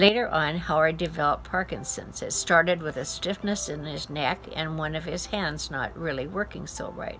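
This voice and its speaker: A woman talks at a moderate pace. There is music in the background. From Washington State, US. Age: 90s. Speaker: retired music teacher. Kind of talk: life story testimony.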